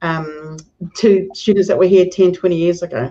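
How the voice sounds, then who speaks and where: A woman's dark, mellow tone with a New Zealand accent. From New Zealand, Hamilton. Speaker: professor. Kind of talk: casual chat.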